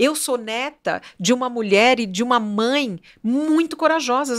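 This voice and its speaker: In a very clean recording with a silent background, a woman speaks at a high pitch with lively intonation. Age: 60s. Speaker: fashion business owner. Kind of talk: podcast interview.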